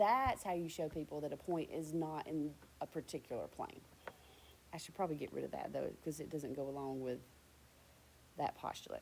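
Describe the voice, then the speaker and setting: A woman at a fairly quick pace, with long, frequent pauses. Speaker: high school math teacher. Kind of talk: lecture. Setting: recorded video lesson on iPad. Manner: fast.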